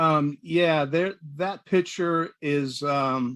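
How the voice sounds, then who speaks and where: Fairly even intonation in an American accent. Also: man. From US South, Eastern North Carolina. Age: 60s. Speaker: veterans charity organizer. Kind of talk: interview. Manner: halting.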